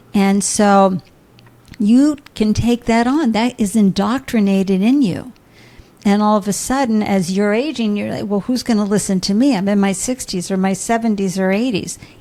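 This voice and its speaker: Over noticeable background noise, a woman with a medium-pitched voice speaks at a moderate pace with ordinary pitch variation. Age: 60s. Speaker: entrepreneur and podcaster. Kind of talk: interview conversation. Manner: animated.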